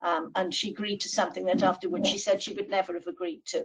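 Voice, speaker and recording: This voice has a Welsh accent and is somewhat breathy. The intonation is lively. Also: woman. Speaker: law professor. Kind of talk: webinar presentation. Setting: online webinar.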